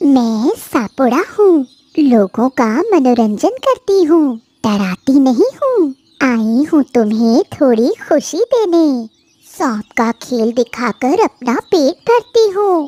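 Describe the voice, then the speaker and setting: A female-sounding, cartoonish character voice speaks in a high pitch. The pace is very slow. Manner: persuasive, honeyed.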